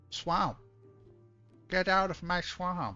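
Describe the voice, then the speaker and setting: Faint music plays behind a man doing a put-on character voice that is gruff and pitched high. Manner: bad impression, gruff.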